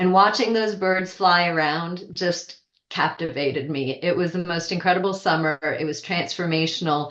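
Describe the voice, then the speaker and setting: In an American accent, a woman speaks at a moderate pace and a fairly low pitch. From Switzerland and Vermont, US. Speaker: wildlife biologist, author. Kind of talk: interview.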